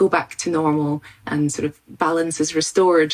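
A woman with a Scottish accent and a fairly low pitch. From Scotland, rural farm. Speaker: immunologist and university lecturer. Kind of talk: expert interview explanation. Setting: video call from home study.

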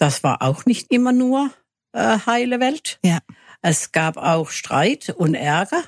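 A woman's pitch swings very widely as she talks at a very slow pace. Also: dry, close sound with no echo. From Germany, Freiburg (Baden). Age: 80s+. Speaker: local senior resident. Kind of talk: radio interview.

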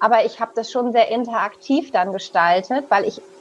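A woman's voice sits fairly high. Noticeable background noise can be heard behind it. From northern Germany, Hamburg. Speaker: business psychologist and coach. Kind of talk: interview. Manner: halting, with many fillers.

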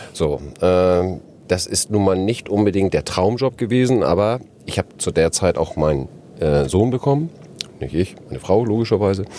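Here is a man with a fairly low pitch and an unremarkable speaking voice. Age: 50s. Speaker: entrepreneur, franchisor. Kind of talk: interview. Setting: podcast bus at a trade fair.

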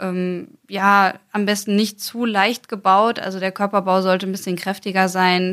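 A woman's medium-pitched voice comes through a very clean recording, the background completely silent. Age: 20s. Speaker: mounted federal police officer. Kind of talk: interview.

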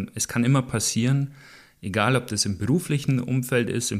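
In a normal speaking voice, a man talks at a moderate pace with ordinary pitch variation on a very clean recording with a silent background. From Allgäu, Bavaria, Germany. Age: 20s. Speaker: wheelchair athlete and motivational speaker. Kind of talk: interview. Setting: at home, in his living room.

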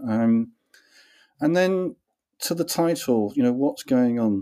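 On a very clean recording with a silent background, a man with an English accent speaks at a moderate pace in a dark, mellow tone at medium pitch. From England. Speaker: author and consultant. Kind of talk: interview.

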